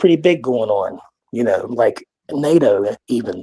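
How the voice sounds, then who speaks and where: This man's voice is fairly high in pitch, with a dark, mellow tone and a West Virginia accent. The sound is dry and close, with no echo. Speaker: caller. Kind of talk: casual chat. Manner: halting, many fillers.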